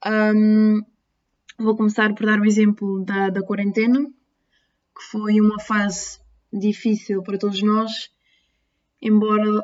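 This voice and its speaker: Speaking very slowly in an Azorean accent, a woman keeps a fairly high pitch and a monotone, flat intonation. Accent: Azorean, noticeable. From Azores, Terceira Island. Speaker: nursing student. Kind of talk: personal testimony.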